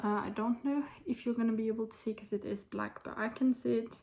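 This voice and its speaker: A woman's somewhat breathy voice with a dark, mellow tone and fairly even intonation. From France. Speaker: knitting vlogger. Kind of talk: casual talk to camera.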